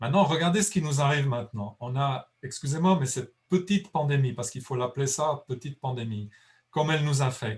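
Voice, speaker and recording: A man with a fairly high voice and a touch of breathiness speaks fairly quickly, his pitch varying in an ordinary way. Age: 60s. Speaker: conservation biologist. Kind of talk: lecture Q&A. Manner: halting.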